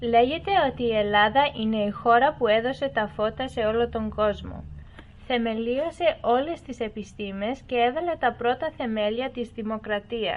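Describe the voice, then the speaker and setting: A woman with an unremarkable speaking voice talks at a fairly slow pace with ordinary pitch variation. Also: fairly high pitch for a woman. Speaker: voice-over narrator. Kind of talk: documentary-style educational narration, read aloud. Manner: even, measured, formal, clear pacing.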